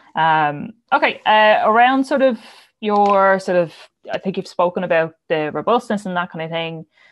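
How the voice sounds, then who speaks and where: With an Irish accent, a woman of medium pitch talks at a moderate pace with lively intonation. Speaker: podcast host. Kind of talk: casual chat.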